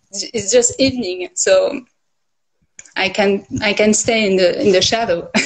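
Fairly slow, somewhat breathy speech from a woman with a French accent, fairly high pitch and ordinary pitch variation against a quiet background. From France. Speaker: livestream guest; guest. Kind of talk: casual chat. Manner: halting. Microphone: phone near.

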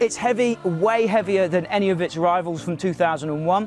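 A man's voice in a dry sound with no echo, with faint music playing in the background. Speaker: motorcycle reviewer. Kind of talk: product review talk to camera. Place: open country. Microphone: lapel.

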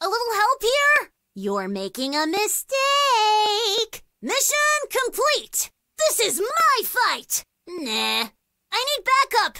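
In a put-on character voice pitched extremely high, a woman talks at a fairly slow pace with long, frequent pauses. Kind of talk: video game combat voice lines. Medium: video game. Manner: upbeat, cocky, playful.

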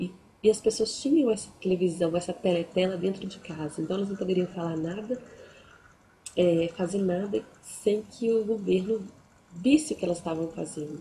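Speech at a moderate pace with ordinary pitch variation comes through over light background noise. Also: woman, medium pitch for a woman. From Brazil. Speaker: book youtuber. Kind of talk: book review vlog. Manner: halting. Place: home room. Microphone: webcam.

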